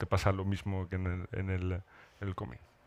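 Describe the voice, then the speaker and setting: A man speaks at a very deep, low pitch. The recording is very clean, with a silent background. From northern Morocco (Rif, Alhucemas). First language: Amazigh (speaking Spanish). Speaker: writer. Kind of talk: literary panel discussion. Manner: halting, many repetitions.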